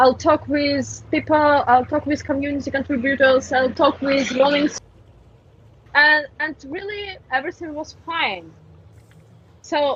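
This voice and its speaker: The speaker talks at a fairly slow pace. The voice carries a Russian accent. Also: woman. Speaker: community manager for a game. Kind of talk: podcast interview. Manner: halting, many fillers; animated.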